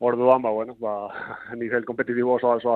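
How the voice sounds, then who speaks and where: With monotone, flat intonation, a man speaks at a medium pitch. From Basque Country (Zumaia, Gipuzkoa). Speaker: sprint canoeist. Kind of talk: interview. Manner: halting, many fillers.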